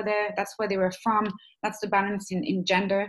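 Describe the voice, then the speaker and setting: This is a woman speaking at a medium pitch. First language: not English (English is third language). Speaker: webinar trainer. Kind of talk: online training webinar. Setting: webinar. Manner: hesitant, many fillers.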